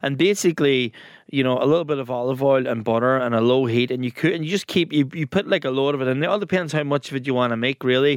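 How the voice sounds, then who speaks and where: A man with an Irish accent speaks at a very fast pace in a medium pitch. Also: ordinary pitch variation. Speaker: podcast co-host. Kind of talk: casual chat.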